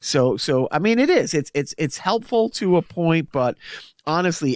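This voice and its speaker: A man with a Boston accent and high pitch speaks at a moderate pace. The sound is dry and close with no echo, on a very clean recording with a silent background. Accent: Boston-area accent, self-described. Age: middle-aged. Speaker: podcast co-host. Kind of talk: casual chat.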